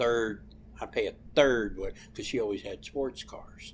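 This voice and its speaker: At a fairly slow pace, a man talks with a Southern US accent. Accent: hillbilly-sounding, by own account. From Ohio. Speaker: comedian. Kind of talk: casual chat.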